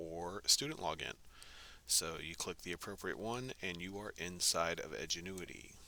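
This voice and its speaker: With a bright, sharp tone and ordinary pitch variation, a man speaks on a very clean recording with a silent background. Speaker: instructional technology trainer for teachers. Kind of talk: screen-recorded software tutorial. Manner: fast; casual, with fillers.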